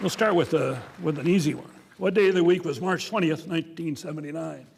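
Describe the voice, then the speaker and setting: A man talks very fast at a high pitch with ordinary pitch variation. Noticeable background noise runs underneath. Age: 70s. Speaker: savant syndrome expert. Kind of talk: public presentation.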